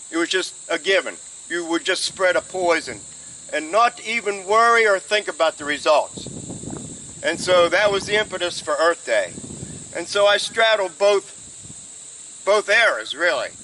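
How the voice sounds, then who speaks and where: A man with a high pitch and an American accent speaks in a raised, projected voice at a moderate pace with ordinary pitch variation, over noticeable background noise. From Ohio, USA. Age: 70s. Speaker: supervisor candidate, retired, garden columnist. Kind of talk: interview answer.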